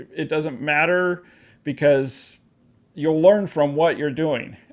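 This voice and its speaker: A man with an American accent and a normal speaking voice, fairly high in pitch, at a moderate pace, on a very clean recording with a silent background. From Pacific Northwest, US (Vancouver WA / Portland OR). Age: 40s. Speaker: interviewer and filmmaker. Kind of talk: interview.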